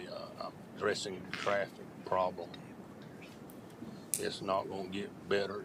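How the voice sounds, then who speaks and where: A man with a North Carolina accent at a moderate pace, with audible room echo. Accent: US Southern (North Carolina). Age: 70s. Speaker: resident speaking at public hearing. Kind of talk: public comment. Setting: county board meeting.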